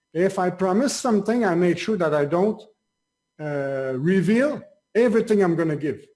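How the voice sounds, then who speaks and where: With a French Canadian accent, a man talks at a moderate pace in a high pitch, his dark, mellow tone carried by lively intonation. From Quebec. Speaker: online marketer. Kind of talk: interview. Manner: halting.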